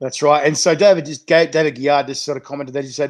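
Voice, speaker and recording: In an Australian accent, a man speaks at a fairly high pitch. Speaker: chilli show host. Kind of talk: casual interview. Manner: fast.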